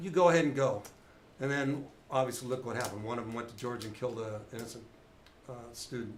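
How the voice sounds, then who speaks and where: A man speaks at a very fast pace with a medium pitch, somewhat breathy, his loudness swinging widely, with long, frequent pauses and audible room echo. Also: ordinary pitch variation. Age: 60s. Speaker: retired police officer. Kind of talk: casual chat.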